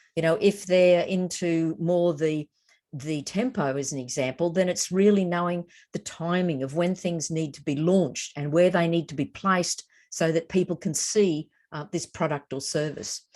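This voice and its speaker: A woman's fairly low voice with an Australian accent, at a moderate pace with ordinary pitch variation, over a quiet background. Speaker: educator presenting an online course. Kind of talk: webinar presentation. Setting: online webinar.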